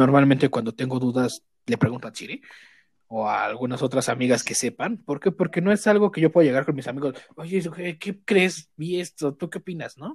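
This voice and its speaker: An unremarkable speaking voice from a man, fairly high in pitch and fairly quick, with lively intonation, in a dry, close, echo-free, very clean recording with a silent background. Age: 20s. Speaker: guest. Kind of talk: casual chat.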